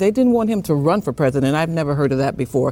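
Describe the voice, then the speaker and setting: A woman's very deep, low voice with a dark, mellow tone and an American accent. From Chicago. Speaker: conservative radio talk show host. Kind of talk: political roundtable debate. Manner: animated.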